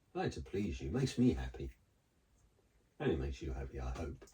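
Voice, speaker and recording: This man's tone is dark and mellow, with vocal fry. He talks at a fairly quick pace. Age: 60s. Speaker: co-host, host's husband. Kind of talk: casual chat.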